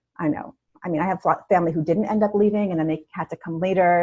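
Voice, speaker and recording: A woman's dark, mellow voice at a very fast pace. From New York City (born in Russia, moved to US at about six). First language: Russian. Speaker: self-care coach. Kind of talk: podcast interview conversation.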